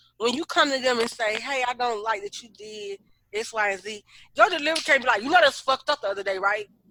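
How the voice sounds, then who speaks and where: Very fast and fairly high-pitched, a woman's voice comes through dry and close with no echo. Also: ordinary pitch variation, big swings in loudness. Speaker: podcast co-host. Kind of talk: casual chat. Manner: loud when excited.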